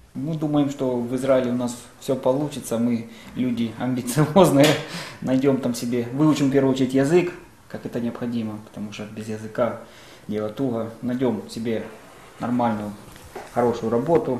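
A man's medium-pitched voice with fairly even intonation and long, frequent pauses, amid noticeable background noise and audible room echo. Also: moderate pace. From eastern Ukraine, Pervomaisk, Luhansk region. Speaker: electrician, war refugee. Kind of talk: testimony.

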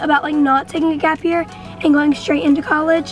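A woman's high-pitched voice with fairly even intonation, a dry sound with no echo, and faint music in the background. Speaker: vlogger. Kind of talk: casual vlog chat. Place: car.

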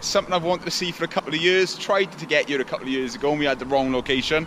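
There is light background noise as a man talks very fast. His pitch varies in an ordinary way. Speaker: exploration vlogger. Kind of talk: casual vlog chat. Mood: enthusiastic. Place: waterside. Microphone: phone near.

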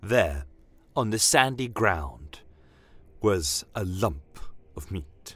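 In a very clean recording with a silent background, a put-on character voice with a fairly bright tone and a slightly husky edge moves at a very slow pace through big pitch swings. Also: man, low pitch for a man.

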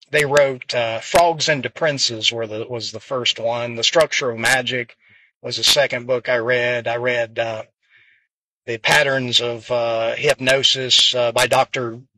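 In an American accent, a man speaks fairly slowly in a relaxed, monotone, flat delivery with a bright, sharp tone. The sound is dry with no echo, though background noise is noticeable. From US small town. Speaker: pool player and coach; pool coach. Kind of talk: casual monologue vlog. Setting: in a car in traffic. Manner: relaxed, hesitant with fillers. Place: car. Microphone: phone near.

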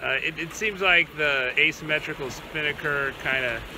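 A man speaks at a moderate pace with ordinary pitch variation, his voice dry with no echo against noticeable background noise. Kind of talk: casual vlog chat. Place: boat. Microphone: phone near.

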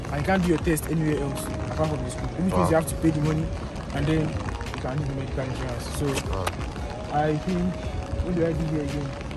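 Over loud music in the background, a man talks at a very fast pace. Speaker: student tour guide. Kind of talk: casual vlog chat. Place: street. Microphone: phone near.

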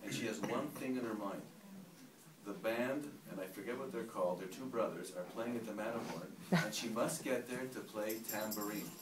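A man's voice with ordinary pitch variation and noticeable background noise. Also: moderate pace. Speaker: storyteller at a gathering. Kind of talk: personal story told to a group. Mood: emotional, reflective. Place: home room. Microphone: camera far.

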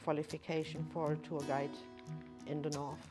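The speaker has a German accent and a flat monotone. Music plays clearly in the background. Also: woman. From Germany. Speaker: tour guide. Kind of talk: interview answer. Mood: warm, friendly. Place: hall.

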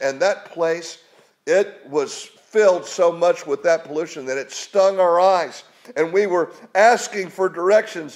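A man with a high voice speaks at a fairly slow pace, his pitch moving in an ordinary way against a quiet background. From West Virginia. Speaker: preacher. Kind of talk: sermon. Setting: home. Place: home room.

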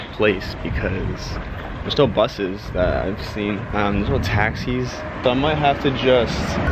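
A man speaking at a fairly slow pace against loud background noise. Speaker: travel vlogger. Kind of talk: casual vlog chat. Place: street. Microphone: phone near.

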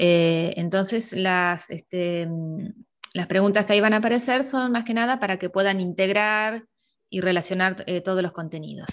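A woman speaks at a medium pitch over a quiet background. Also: ordinary pitch variation, moderate pace. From Argentina. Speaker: university lecturer. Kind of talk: online review class. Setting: video call. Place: home room. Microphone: earbuds.

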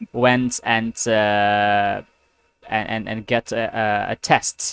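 The man's tone is clear and smooth, and fairly bright.

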